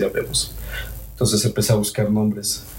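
Speaking at a moderate pace, a man has a dark, mellow tone that is somewhat breathy. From Mexico, Cholula. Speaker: andean folk musician. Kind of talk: casual interview chat.

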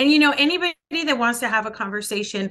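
A woman's voice comes across with a bright, sharp tone and lively intonation. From El Paso, Texas. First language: Spanish. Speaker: congressional candidate. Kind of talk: interview answers, political talk.

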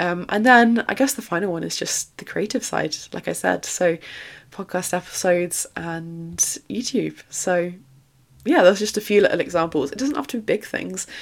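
A woman's fairly low voice with vocal fry, ordinary pitch variation and a moderate pace.

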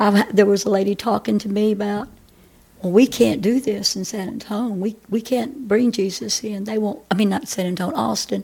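Vocal fry runs through a woman's dark, mellow tone as she speaks at a medium pitch and a moderate pace, with fairly even intonation. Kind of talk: testimony.

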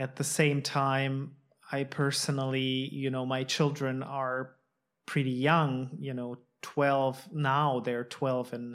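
In a very clean recording with a silent background, a man of medium pitch speaks at a very slow pace in a monotone, flat intonation. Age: 40s. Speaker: podcast host. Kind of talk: casual chat; podcast outro.

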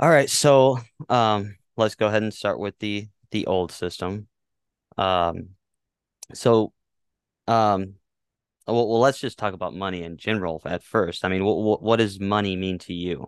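A man's fairly slow, fairly low-pitched speech with long, frequent pauses and ordinary pitch variation, dry and close with no echo against a quiet background. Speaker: guest discussing finance and politics. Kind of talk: casual interview explaining topics. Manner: halting, hesitant, repeats words.

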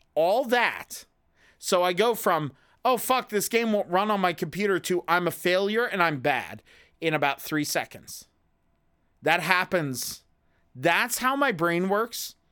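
A man's raised, projected voice, bright and sharp with high pitch and lively intonation, moves at a fairly slow pace with long, frequent pauses and very even loudness on a very clean recording with a silent background. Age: 30s. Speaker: podcast host. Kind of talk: casual chat.

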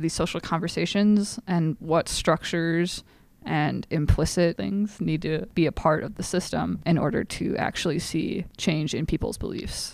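A woman with an unremarkable speaking voice and fairly low pitch talks at a moderate pace with ordinary pitch variation in a very clean recording with a silent background. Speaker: student podcast co-host.

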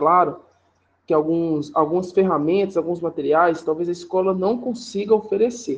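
A man speaks at a moderate pace with a high pitch. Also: ordinary pitch variation. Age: 20s. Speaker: physical education teacher. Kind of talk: interview answers, formal. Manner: formal.

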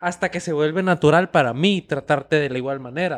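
Against a quiet background, a man talks at a fairly quick pace with ordinary pitch variation in a dry, close sound with no echo. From United States, Nicaraguan family. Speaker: podcast co-host. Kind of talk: casual chat.

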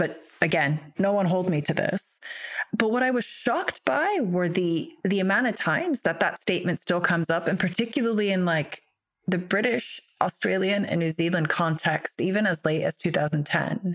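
This woman has a plain, everyday voice of medium pitch and ordinary pitch variation. She keeps a moderate pace and very even loudness. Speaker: barrister and podcast host. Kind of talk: interview conversation.

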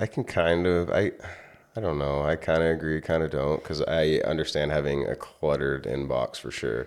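A man speaks at a moderate pace with a very deep, low pitch. Vocal fry runs through his voice, with ordinary pitch variation. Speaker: podcast co-host. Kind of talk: casual chat.

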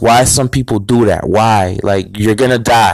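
A man speaks in an ordinary speaking voice at a moderate pace, with fairly even intonation and a dry, close sound with no echo. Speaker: podcast host. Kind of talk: angry rant.

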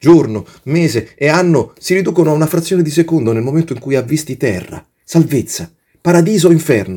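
With an animated tone, a man speaks at a fairly quick pace. His pitch is fairly high, and vocal fry shows through. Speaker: podcaster, writer and actor. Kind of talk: satirical monologue, voicing a migrant character in mock dialogue with a police officer. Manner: animated, sarcastic, mock-indignant, ranting with ironic exaggeration; fast, breathless, stammering and pleading in the character's voice.

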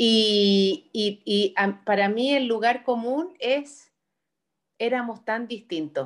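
In a Chilean accent, a woman with a fairly high voice speaks very slowly. Her loudness stays very even throughout. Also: ordinary pitch variation. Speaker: podcast co-host. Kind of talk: casual chat.

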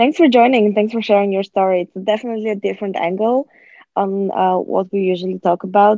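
With a Bulgarian accent, a woman talks very fast at a medium pitch, keeping her intonation fairly even. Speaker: podcast host. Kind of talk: casual interview. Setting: remote call. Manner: hesitant, many fillers.

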